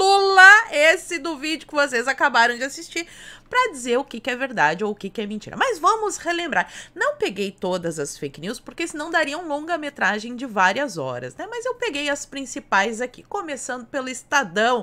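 Raised and projected, a woman's high voice is animated, moving at a moderate pace with very wide pitch swings and big swings in loudness. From Brazil. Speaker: political YouTuber. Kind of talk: political commentary video. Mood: sarcastic, critical. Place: home room.

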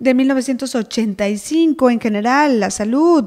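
Her pitch high for a woman, the speaker varies it in an ordinary way. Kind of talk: casual chat. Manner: animated.

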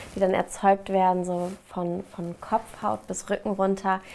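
A woman speaks at a fairly slow pace. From Mainz, Germany. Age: 30s. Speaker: ASMR artist. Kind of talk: casual interview answer. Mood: cheerful, relaxed. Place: home room.

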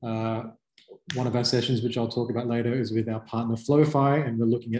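Somewhat breathy and dark, mellow in tone, a man speaks amid audible room echo and light background noise. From Australia. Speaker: startup company representative presenting to clients. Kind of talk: webinar presentation. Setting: online video presentation. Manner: casual with many fillers. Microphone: video call.

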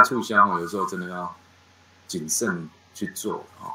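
A man speaking at a fairly slow pace. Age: 50s. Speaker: chain store management instructor. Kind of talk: online lecture. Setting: online class. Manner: many filler particles and hesitations.

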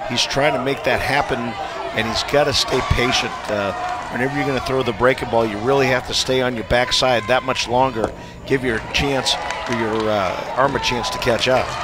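A man speaks at a moderate pace in a relaxed tone, his medium-pitched voice keeping a fairly even intonation over noticeable background noise. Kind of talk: live sports commentary, analysis. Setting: broadcast booth. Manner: conversational, relaxed analyst, some filler words.

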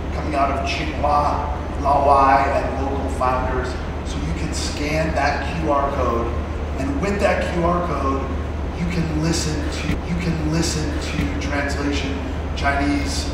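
Amid loud background noise and audible room echo, a man speaks at a very slow pace. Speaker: event host. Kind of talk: stage announcement and intro. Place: hall.

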